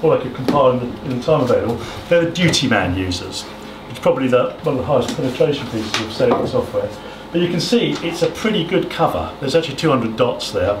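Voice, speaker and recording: Over noticeable background noise, the voice moves at a very fast pace. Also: man. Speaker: presenter. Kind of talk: presentation talk. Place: hall. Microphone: camera far.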